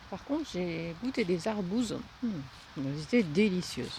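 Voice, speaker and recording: A woman talks at a medium pitch with very wide pitch swings. Noticeable background noise runs under her voice. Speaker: vlogger. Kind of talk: walking vlog. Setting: outdoors. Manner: soft-spoken; halting.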